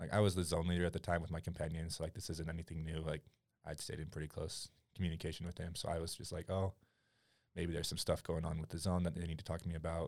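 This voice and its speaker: A man with an American accent talks at a very fast pace. His very deep, low voice stays monotone and flat. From Utah, US (Utah County). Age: 20s. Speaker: college student. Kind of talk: casual chat. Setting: studio.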